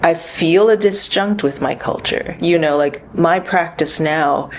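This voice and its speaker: Noticeable background noise sits behind a woman with an American accent. She talks at a fairly slow pace with ordinary pitch variation. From US, New York and California. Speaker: composer and performer. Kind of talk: interview. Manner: hesitant, many fillers.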